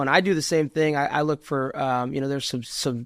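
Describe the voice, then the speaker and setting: A man's ordinary speaking voice, fairly high-pitched, at a fairly quick pace with fairly even intonation. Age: 30s. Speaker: podcast host. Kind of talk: podcast interview. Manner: casual.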